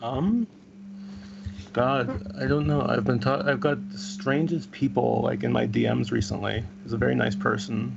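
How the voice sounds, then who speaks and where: A man speaks at a fairly low pitch with very wide pitch swings. There is audible room echo and noticeable background noise. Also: moderate pace. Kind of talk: casual chat. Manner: halting.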